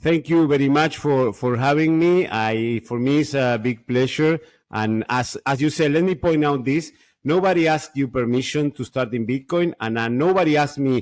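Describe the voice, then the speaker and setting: A man with a Spanish accent at a moderate pace and fairly high pitch, with ordinary pitch variation, in a very clean recording over a silent background. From Argentina. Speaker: Bitcoin podcaster. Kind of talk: interview. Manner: halting.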